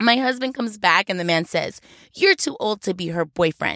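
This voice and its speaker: Speaking at a moderate pace, a woman sounds animated, her pitch swinging very widely, with a dry, close sound and no echo. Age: 30s. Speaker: storyteller, former exotic dancer. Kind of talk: comedic monologue. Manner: animated, laughing often.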